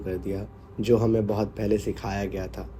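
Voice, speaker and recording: Here is a man with a fairly low pitch. His tone is dark and mellow. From Bihar, India. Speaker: horror story narrator. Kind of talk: horror story reading.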